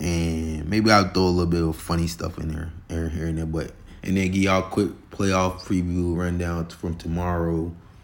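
With an American accent and a very deep, low pitch, a man speaks at a moderate pace in a monotone, flat way, with audible room echo around him. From Florida. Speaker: podcast host and sports commentator. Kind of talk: casual solo sports talk. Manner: halting, many fillers.

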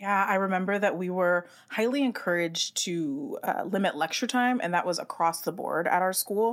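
In a normal speaking voice, a woman talks at medium pitch with ordinary pitch variation and hardly any pauses. The recording is very clean, with a silent background. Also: moderate pace. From US West Coast, San Francisco Bay Area. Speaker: podcast host, teacher. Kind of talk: casual chat.

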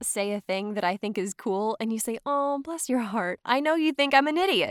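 Recorded very cleanly against a silent background, with a dry, close sound and no echo, a woman talks at a moderate pace in a fairly high pitch with lively intonation. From US South (Georgia). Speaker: actor and voiceover artist. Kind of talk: casual chat. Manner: chatty, many fillers.

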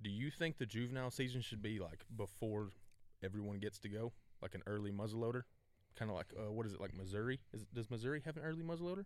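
A man talks very fast with a Southern US accent. His pitch is medium, with ordinary pitch variation. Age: 20s. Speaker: podcast host. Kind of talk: casual chat.

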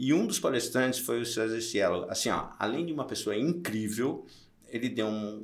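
Medium pitch from a man, moderate pace, ordinary pitch variation, and audible room echo. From interior of Santa Catarina, Brazil (Curitibanos). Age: 60s. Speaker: triathlon event organizer and entrepreneur. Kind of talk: casual interview.

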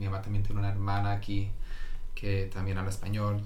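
A man at a fairly quick pace with fairly even intonation, amid noticeable background noise and audible room echo. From Norway. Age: 30s. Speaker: digital marketing specialist. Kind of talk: casual interview.

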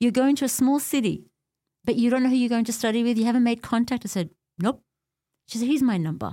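This woman talks at a very fast pace with a high pitch and an Australian accent, her pitch varying in an ordinary way, broken by long, frequent pauses in a very clean recording with a silent background. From Australia, Melbourne (born in Beirut, left at six). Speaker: community leader and religious teacher. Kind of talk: interview, personal life story.

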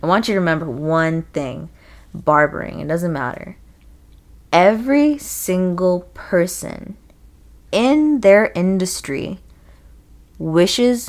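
Speaking at a very slow pace, a woman uses lively intonation in a fairly low pitch. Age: 20s. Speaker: podcast co-host. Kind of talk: casual chat.

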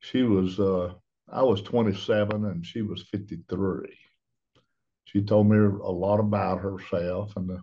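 A man speaks with a Southern US accent. His intonation stays fairly even. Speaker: branch manager, plumbing contractor. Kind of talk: interview. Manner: halting.

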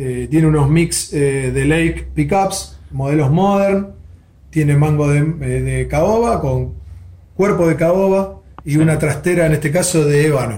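Audible room echo surrounds a man who talks at a fairly slow pace with very even loudness. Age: 40s. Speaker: guitar maker. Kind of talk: interview. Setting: workshop.

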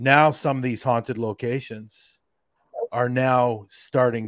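A man speaks with an American accent. His pace is fairly slow. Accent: Canadian, heard as American. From Canada. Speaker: paranormal investigator. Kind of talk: casual chat. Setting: video call.

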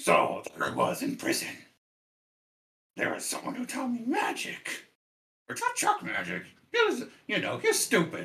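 A man puts on a character voice at an extremely high pitch. He keeps a moderate pace with long, frequent pauses. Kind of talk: comic overacting. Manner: mocking, offhand storyteller.

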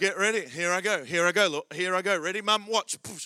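Talking very fast in an Australian accent, a man projects a raised, animated voice with a high pitch and a bright, sharp tone, the sound dry and close with no echo. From Australia, Adelaide. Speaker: pastor. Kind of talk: sermon. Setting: church.

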